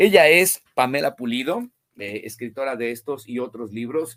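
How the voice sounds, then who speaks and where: A man speaks in a plain, everyday voice at a medium pitch and a fairly slow pace. The sound is dry and close with no echo. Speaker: book channel host, interviewer. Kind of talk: interview.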